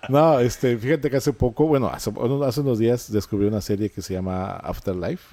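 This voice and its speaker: Speaking at a moderate pace with hardly any pauses, a man has a dark, mellow tone, a medium pitch and ordinary pitch variation. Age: 40s. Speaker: podcast co-host. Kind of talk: casual chat.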